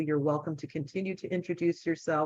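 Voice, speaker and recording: A woman's voice with a very deep, low pitch. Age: 60s. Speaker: event moderator, former hospice worker. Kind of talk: introducing a speaker. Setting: video call.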